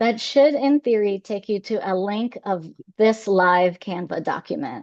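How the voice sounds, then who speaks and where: A woman with a fairly high pitch talks at a moderate pace with lively intonation. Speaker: former journalist turned government communicator. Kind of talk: webinar presentation. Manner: loud; animated.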